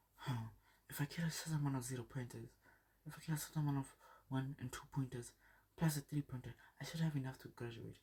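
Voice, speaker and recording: A man in a put-on character voice, mumbling at a very fast pace between long, frequent pauses, medium in pitch with fairly even intonation. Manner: low, fast mumbling.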